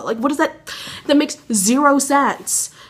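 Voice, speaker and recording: A high-pitched woman with ordinary pitch variation over noticeable background noise. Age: young. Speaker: college student vlogger. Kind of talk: casual vlog. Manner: fast.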